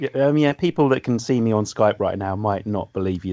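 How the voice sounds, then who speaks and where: A man speaks at a fairly quick pace with a southern English accent. His pitch varies in an ordinary way. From southern England. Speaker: music store manager. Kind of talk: casual chat. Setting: video call.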